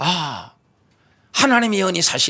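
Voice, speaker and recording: The man's tone is bright and sharp. He talks fairly quickly. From Gyeongsang, South Korea. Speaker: pastor. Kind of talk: sermon. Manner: animated.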